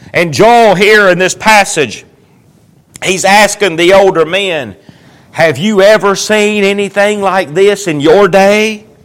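A man's high voice with a Southern US accent, very slow in pace and fairly even in intonation. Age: 50s. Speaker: pastor. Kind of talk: sermon.

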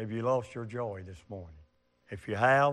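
In a Southern US accent, a man talks at a fairly slow pace with ordinary pitch variation. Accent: US South. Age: 70s. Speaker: preacher. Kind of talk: sermon. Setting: church. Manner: animated.

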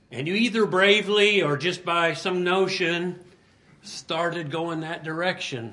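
A man's high-pitched voice at a fairly slow pace, with ordinary pitch variation. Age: 60s. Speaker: pastor. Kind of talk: sermon. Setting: church.

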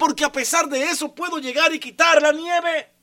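A man's raised, projected voice at an extremely high pitch, bright and sharp in tone, with fairly even intonation and a fairly slow pace. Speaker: pastor. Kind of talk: sermon. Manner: sometimes shouts.

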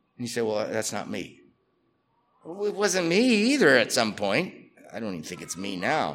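A man at a medium pitch speaks at a moderate pace with long, frequent pauses. His pitch swings very widely, and the room echo is audible. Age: 60s. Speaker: pastor. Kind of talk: sermon.

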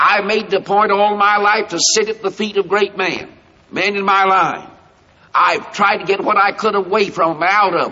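A man with an American accent speaks at a moderate pace with a high pitch. His intonation is monotone and flat, and there is noticeable background noise. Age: 60s. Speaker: preacher and school founder. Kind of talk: sermon. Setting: chapel platform with student audience. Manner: emphatic.

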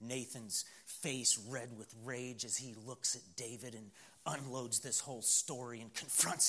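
Fairly even intonation in plain reading aloud

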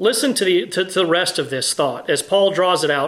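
Loud and high-pitched, a man speaks. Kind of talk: sermon. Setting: church.

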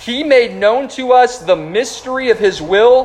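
A man with lively intonation talks while noticeable background noise fills the recording. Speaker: preacher. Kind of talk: sermon. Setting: stage with audience.

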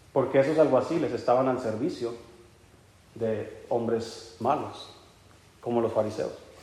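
A man's animated tone comes through at a fairly slow pace. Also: long, frequent pauses. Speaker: preacher. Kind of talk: sermon. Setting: church. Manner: animated, earnest preaching with rhetorical questions and storytelling; warm, conversational, with occasional laughter.

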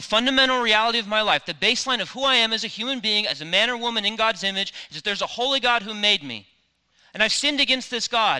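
Very fast and in a raised, projected voice, a man speaks with a high pitch, a bright, sharp tone and ordinary pitch variation. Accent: American. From United States. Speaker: pastor. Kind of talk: sermon. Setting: church.

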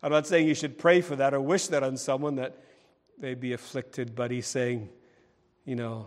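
Speaking at a moderate pace, a man with a medium pitch and ordinary pitch variation leaves long, frequent pauses. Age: 60s. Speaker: pastor. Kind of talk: sermon. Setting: church.

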